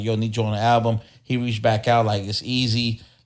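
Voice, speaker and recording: With an American accent, a man at medium pitch speaks over music in the background. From East Oakland, California. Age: 20s. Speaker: rapper. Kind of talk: podcast interview. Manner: casual, laid-back.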